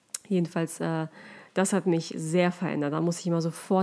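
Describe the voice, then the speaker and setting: This woman's pitch is fairly low. Her tone is dark and mellow. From Germany (moved from Russia aged six). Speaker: podcast co-host. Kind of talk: casual chat.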